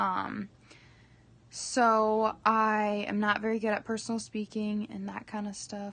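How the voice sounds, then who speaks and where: With monotone, flat intonation, a woman speaks at a fairly slow pace and a fairly high pitch. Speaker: direct sales rep giving training. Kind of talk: training presentation. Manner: many filler ums.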